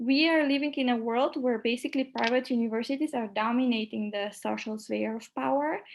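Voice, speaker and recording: A woman speaks in a high pitch at a fairly quick pace. Her intonation is fairly even, and she hardly pauses. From North Macedonia. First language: Macedonian and French. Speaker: university director and trainer. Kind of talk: presentation. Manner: hesitant, with fillers.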